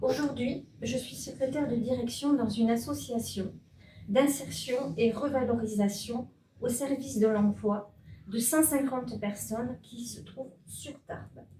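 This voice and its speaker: Her pitch high and her tone dark and mellow, a woman speaks at a fairly slow pace with fairly even intonation and big swings in loudness. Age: 60s. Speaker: municipal election candidate. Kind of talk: candidate self-introduction speech.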